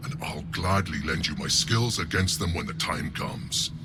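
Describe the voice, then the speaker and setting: A man performs a put-on character voice at a moderate pace. Loud background noise runs underneath. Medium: video game. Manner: gruff, approving.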